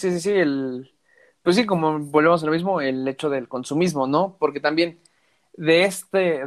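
A man speaks in a plain, everyday voice with a fairly high pitch and ordinary pitch variation. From Mexico. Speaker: podcast host. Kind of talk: casual chat.

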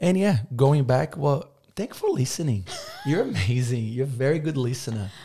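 A man of medium pitch speaks with a Portuguese accent. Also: lively intonation, moderate pace. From Brazil. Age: 20s. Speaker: business owner. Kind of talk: casual interview chat. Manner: animated.

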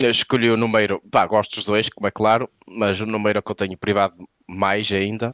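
A man talks fairly quickly at a fairly low pitch in a monotone, flat intonation. The sound is dry and close with no echo. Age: 30s. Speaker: comedian. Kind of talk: casual chat.

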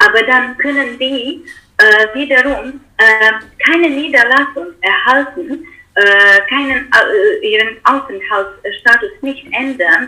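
Lively in intonation, a woman speaks at a very slow pace with a high pitch. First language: not German (speaking German). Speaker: political scientist, researcher. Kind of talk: interview. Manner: halting, many fillers.

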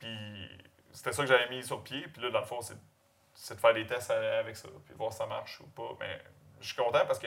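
A man speaks at a moderate pace with a Quebec accent. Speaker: pig farmer. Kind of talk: casual interview.

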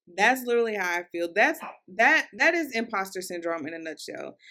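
This woman talks with a Southern US accent on a very clean recording with a silent background. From Louisville, Kentucky. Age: 20s. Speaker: podcast host. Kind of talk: solo podcast monologue. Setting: recorded for YouTube and Spotify. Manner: casual, chatty, warm.

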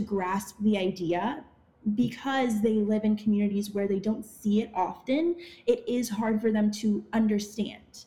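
A woman speaks in a fairly high, somewhat breathy voice with a dark, mellow tone. Her intonation is fairly even. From Ottawa, Canada. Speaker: actress and activist. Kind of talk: interview.

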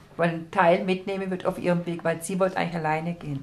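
Noticeable background noise sits behind a woman speaking at medium pitch and a fairly quick pace. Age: 40s. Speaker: pilgrim. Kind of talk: casual interview.

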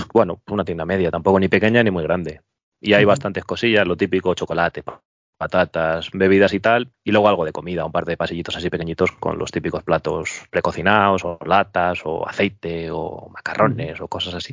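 Using fairly even intonation, a man with a very deep, low voice speaks at a fairly quick pace. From Madrid, Spain. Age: 40s. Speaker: petrol station attendant. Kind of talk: casual interview chat.

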